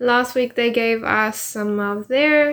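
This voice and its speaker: On a very clean recording with a silent background, a woman speaks in a high voice with fairly even intonation. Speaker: podcast co-host. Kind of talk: casual chat.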